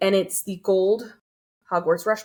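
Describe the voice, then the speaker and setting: A woman's medium-pitched voice at a fairly slow pace, with a Californian accent. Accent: General American (Californian). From Southern California. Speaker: collector. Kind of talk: casual interview chat. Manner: stutters when excited.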